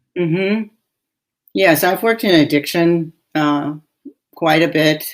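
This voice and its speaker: In a normal speaking voice, a woman talks at a fairly slow pace and a fairly low pitch, with ordinary pitch variation. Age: 60s. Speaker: physician and podcast host. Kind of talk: casual chat.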